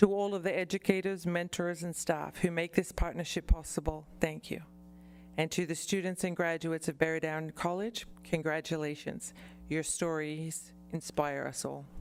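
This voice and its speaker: Over music in the background, a woman with an Australian accent speaks at a moderate pace with a fairly low pitch and monotone, flat intonation. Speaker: college representative. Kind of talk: formal presentation.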